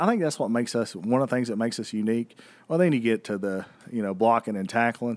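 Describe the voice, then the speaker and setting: On a very clean recording with a silent background, a man with an American accent talks at a very fast pace, medium pitch and ordinary pitch variation. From northeast Tennessee, near Bristol. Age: 30s. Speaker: grocery chain marketing executive. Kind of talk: casual interview.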